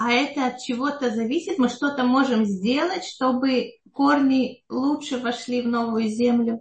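A woman's high voice at a fairly slow pace, with ordinary pitch variation. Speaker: online lesson host. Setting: online call.

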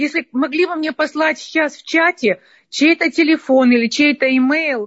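A woman's pitch varies in an ordinary way as she speaks at a moderate pace. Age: 60s. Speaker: listener asking a question. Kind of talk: question to lecturer. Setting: Zoom call.

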